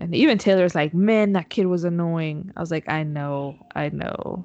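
A woman in a Spanish accent talks with a fairly low pitch and ordinary pitch variation. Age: 20s. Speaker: podcast co-host, mother. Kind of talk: casual chat. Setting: remote call from home.

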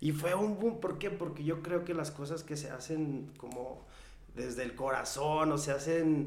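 Amid noticeable background noise and audible room echo, a man speaks at a fairly high pitch and a fairly slow pace. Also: ordinary pitch variation. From Mexico, rural ranch upbringing. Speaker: singer-songwriter. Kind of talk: casual chat.

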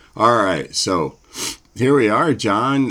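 A man's intonation is lively, with noticeable background noise behind him. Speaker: podcast co-host. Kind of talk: casual chat.

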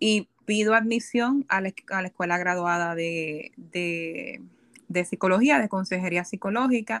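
Recorded with a dry, close sound and no echo, a woman speaks fairly slowly at a medium pitch with lively intonation. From Puerto Rico. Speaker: psychologist. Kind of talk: casual chat. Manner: halting.

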